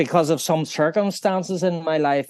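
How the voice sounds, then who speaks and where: A man's fairly high-pitched voice with a Northern Irish accent. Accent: Northern Irish (Belfast). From Northern Ireland, Belfast. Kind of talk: interview, personal faith testimony. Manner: halting, many fillers.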